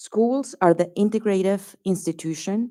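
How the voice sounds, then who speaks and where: The tone is dark and mellow. The speaker has a Colombian accent. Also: woman, very clean recording, silent background. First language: Spanish. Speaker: sociologist testifying at public hearing. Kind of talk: public hearing testimony. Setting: public hearing venue with audience.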